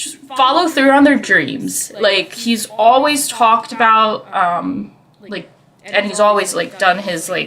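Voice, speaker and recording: Very slow speech with lively intonation and big swings in loudness over noticeable background noise. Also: woman, fairly high pitch for a woman. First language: not English. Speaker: podcast host. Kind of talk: casual chat. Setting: live stream. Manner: halting.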